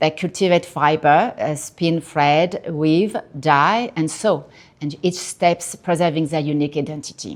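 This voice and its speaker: A woman speaks fairly slowly in a very deep, low pitch with ordinary pitch variation. The recording is very clean, with a silent background. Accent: strong French. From France, Paris. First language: French. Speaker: artist. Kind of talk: artist talk. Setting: gallery with audience. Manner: halting.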